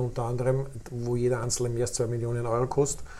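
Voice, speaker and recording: Somewhat breathy, a man speaks in a Lower Austrian accent. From Lower Austria (Krems area). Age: 50s. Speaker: youth football academy director. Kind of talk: interview. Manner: hesitant fillers.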